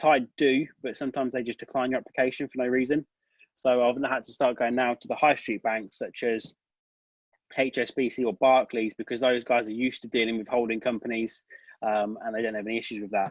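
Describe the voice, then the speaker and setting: A man speaks with a British accent at a fairly quick pace and medium pitch. His intonation is monotone and flat, and the sound is dry and close with no echo. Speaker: tax advisor. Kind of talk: webinar Q&A. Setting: online webinar. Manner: fast.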